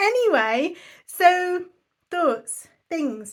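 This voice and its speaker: Lively intonation marks this voice with an English accent. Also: woman. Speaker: budgeting vlogger. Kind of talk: casual vlog chat. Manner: fast.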